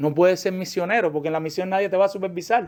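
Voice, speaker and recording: Pitched high, a man talks at a fairly quick pace. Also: very clean recording, silent background. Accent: Cuban. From Cuba. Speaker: pastor. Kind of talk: sermon-style Bible class lecture. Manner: fast.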